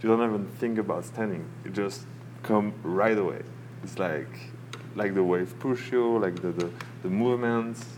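A man speaks at a moderate pace. Background noise is noticeable. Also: fairly low pitch for a man, ordinary pitch variation. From southern France, Nice. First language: French. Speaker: beginner surfer. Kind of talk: casual chat. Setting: cafe by a fire.

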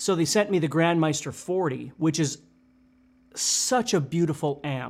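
A man speaks at a fairly slow pace in a plain, everyday voice. His pitch is fairly high, with ordinary pitch variation. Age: 50s. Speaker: guitar teacher. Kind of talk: casual chat.

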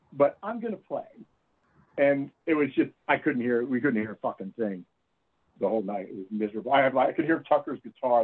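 An ordinary speaking voice at a fairly quick pace. The intonation is lively. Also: man, medium pitch for a man. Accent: American. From Florida. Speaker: musician. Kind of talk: casual chat.

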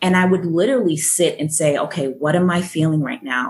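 With an American accent, a woman speaks at a fairly quick pace. Her voice is an unremarkable speaking voice, pitched fairly low. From Boston and Jamaica. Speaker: education program director and speaker. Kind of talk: interview, conversational.

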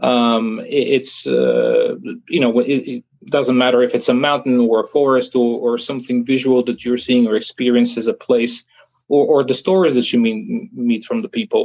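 The man speaks with a Bulgarian accent at a moderate pace, keeping his loudness very even. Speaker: filmmaker. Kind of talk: interview. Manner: halting.

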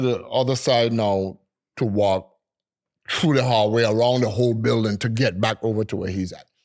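On a very clean recording with a silent background, a man with an American accent and an unremarkable speaking voice talks at a medium pitch with ordinary pitch variation. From US Virgin Islands, St. Thomas. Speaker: DJ and music producer. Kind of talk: casual interview storytelling.

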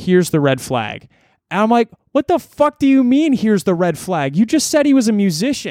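The man's voice is high-pitched, with a dark, mellow tone and very wide pitch swings. He talks at a fairly quick pace, and the sound is dry and close with no echo. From rural Ontario, Canada. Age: 20s. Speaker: musician and content creator. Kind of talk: casual chat. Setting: remote call.

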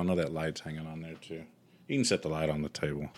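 A man with a Southern US accent speaks at a very fast pace on a very clean recording with a silent background. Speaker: music podcast co-host. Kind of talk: casual chat.

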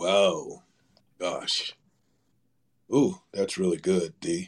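This is a put-on character voice with a raspy edge. It moves at a very slow pace. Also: man, very deep, low pitch for a man. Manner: hesitant, drawn-out, stalling.

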